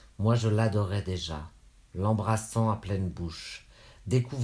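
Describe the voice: Simple, plain reading aloud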